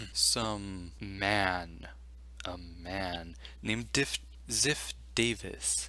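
Speaking at a very slow pace with long, frequent pauses, a man uses a very deep, low pitch with vocal fry, a bright, sharp tone and very wide pitch swings. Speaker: gaming video commentator. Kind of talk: casual gaming news talk over gameplay. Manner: quiet.

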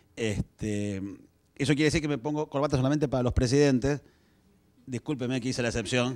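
A man with an Argentine accent, fairly quick pace, long and frequent pauses, and fairly even intonation. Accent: Rioplatense Argentine Spanish. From Argentina, Buenos Aires. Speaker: communications executive. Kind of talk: lecture. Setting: stage with audience. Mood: joking, light. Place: stage. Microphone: handheld.

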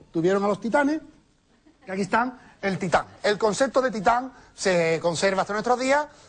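A man's high-pitched voice in an Andalusian accent, with lively intonation, a moderate pace and long, frequent pauses. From Andalusia, Spain. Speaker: comedian. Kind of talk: stand-up comedy monologue. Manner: casual, lively. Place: studio. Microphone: lapel.

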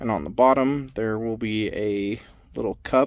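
A man's voice with ordinary pitch variation, dry with no echo, against a quiet background. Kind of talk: tutorial. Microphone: phone near.

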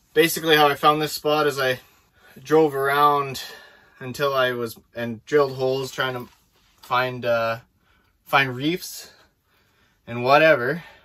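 A man keeps his intonation fairly even and his pace moderate, with a quiet background. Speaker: ice fishing vlogger. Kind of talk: casual vlog chat. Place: tent. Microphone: camera far.

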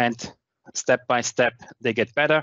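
With a German accent, a man speaks at a moderate pace in a dry sound with no echo and a quiet background. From Austria. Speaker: tech conference speaker; conference speaker. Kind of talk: technical presentation with demo. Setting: online video meeting with screen share. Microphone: headset.

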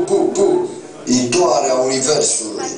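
A man talks at a very slow pace in a room with audible echo. Loud background noise runs behind him. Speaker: slam poet. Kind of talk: slam poetry performance. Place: stage. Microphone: camera far.

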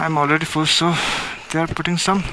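A man's voice comes through dry with no echo, over light background noise. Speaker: motovlogger rider. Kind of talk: casual vlog chat. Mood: relaxed, cheerful. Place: motorbike.

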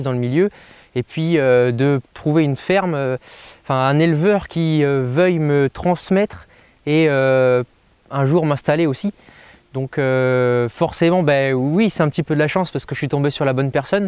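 A man speaks fairly slowly in a fairly high voice with ordinary pitch variation. The sound is dry with no echo over a quiet background. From western France, Deux-Sèvres (Niort); western France. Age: 20s. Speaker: dairy farm worker. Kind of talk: interview. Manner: halting, with many hesitations. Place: farm. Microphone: lapel.

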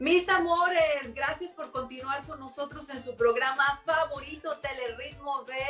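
With faint music in the background, a woman with a high pitch talks at a fairly slow pace with hardly any pauses. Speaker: TV show host. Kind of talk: TV interview hosting. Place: home room. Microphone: webcam.

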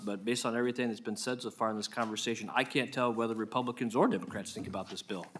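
With an American accent, a man talks at a very fast pace in a bright, sharp, medium-pitched voice over light background noise. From Iowa. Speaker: state senator. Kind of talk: committee hearing questioning. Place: hall. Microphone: podium.

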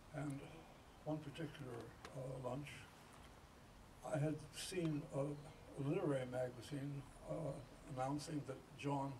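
There is clear background noise. Through it, a man talks with rather level intonation. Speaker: speaker. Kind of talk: speech with an anecdote. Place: garden. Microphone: camera far.

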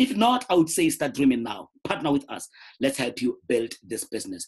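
A man's voice with very wide pitch swings at a moderate pace. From South Africa, rural Limpopo. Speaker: network marketer. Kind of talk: sales pitch.

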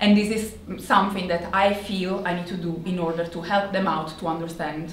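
Light background noise and audible room echo around a woman's medium-pitched voice, with ordinary pitch variation at a moderate pace. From Italy. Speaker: marketing executive. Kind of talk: conference talk. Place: hall.

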